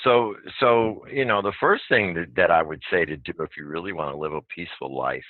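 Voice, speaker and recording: A man speaks at a moderate pace with lively intonation. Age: 60s. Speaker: guest on spiritual podcast. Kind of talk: casual interview conversation.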